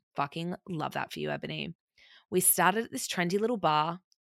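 In an Australian accent, a woman speaks at a very deep, low pitch with lively intonation and vocal fry. The recording is very clean and dry, close with no echo, over a silent background. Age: 20s. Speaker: podcast host. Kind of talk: casual solo podcast chat.

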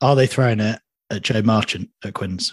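A somewhat breathy man at a moderate pace, with fairly even intonation and a dry, close sound with no echo. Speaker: podcast host. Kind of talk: casual chat.

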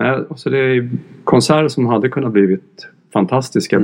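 An ordinary speaking voice from a man at medium pitch, with lively intonation and a fairly quick pace. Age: 50s. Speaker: music journalist. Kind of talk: casual chat. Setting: studio.

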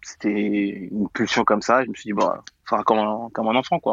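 A man with vocal fry talks very fast at a medium pitch. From Paris region, France. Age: 20s. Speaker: conversion therapy survivor. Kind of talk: testimony. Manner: halting.

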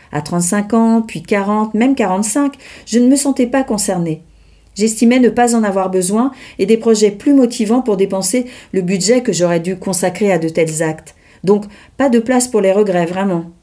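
At a fairly slow pace, a woman talks in a dark, mellow tone at medium pitch with ordinary pitch variation. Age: 60s. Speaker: podcast host and journalist. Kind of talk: solo monologue, scripted.

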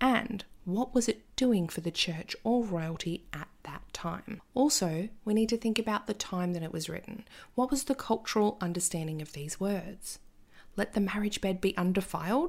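A woman speaks in an Australian accent with lively intonation at a moderate pace. The recording is very clean, with a silent background. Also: medium pitch for a woman. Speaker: podcast host, astrologer and tarot reader. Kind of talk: casual monologue. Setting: home recording with cat nearby. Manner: animated.

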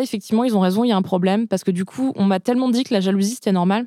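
A woman's dark, mellow tone is captured in a very clean recording against a silent background. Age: 30s. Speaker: journalist and author. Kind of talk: casual chat. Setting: studio.

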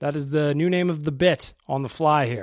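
A fairly quick, animated voice with a Western Canadian accent comes through on a very clean recording with a silent background. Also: man. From Edmonton, Alberta, Canada. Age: 30s. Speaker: hockey podcast host. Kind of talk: casual chat.

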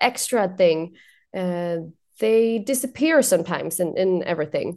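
A woman with a Swedish accent, dark and mellow in tone, at a fairly slow pace against a quiet background. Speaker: journalist. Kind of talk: casual chat.

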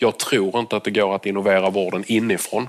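A man with a fairly low pitch speaks at a fairly quick pace. His intonation stays monotone and flat. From southern Sweden, Lund. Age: 40s. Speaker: doctor and tech entrepreneur. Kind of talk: interview on stage at event.

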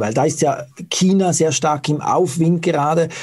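A man is speaking with fairly even intonation. His voice is somewhat breathy. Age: 40s. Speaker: interviewer, website operator. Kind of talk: interview.

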